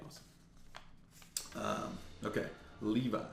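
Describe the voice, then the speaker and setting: Audible room echo surrounds this man's voice. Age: 20s. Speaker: YouTuber opening trading card mail. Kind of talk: casual unboxing vlog. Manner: casual, filler-heavy with repeats.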